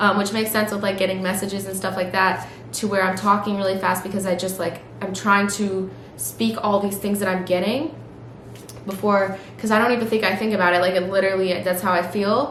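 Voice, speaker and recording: A woman speaks at a medium pitch and a fairly quick pace in a flat monotone, with audible room echo and noticeable background noise. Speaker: tarot reader. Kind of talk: tarot reading. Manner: fast; stream of consciousness, many fillers.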